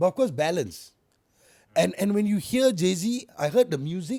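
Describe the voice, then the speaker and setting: Loud and dark, mellow in tone, this voice swings very widely in pitch. Every line rises and falls sharply. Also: man. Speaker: music artist. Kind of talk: casual chat. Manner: fast.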